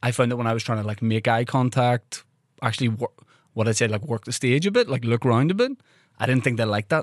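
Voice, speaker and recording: A man's medium-pitched voice with a Northern Irish accent, very fast pace, ordinary pitch variation, dry close sound with no echo, and a quiet background. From Northern Ireland. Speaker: podcast host and comedian. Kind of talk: casual chat. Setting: studio.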